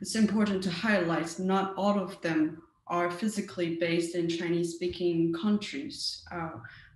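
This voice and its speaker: Speaking with a Mandarin accent at a moderate pace, the voice has fairly even intonation and hardly any pauses, with audible room echo and noticeable background noise. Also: woman, fairly low pitch for a woman. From Taiwan. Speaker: cybersecurity researcher. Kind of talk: conference talk. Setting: virtual meetup. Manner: hesitant with frequent fillers.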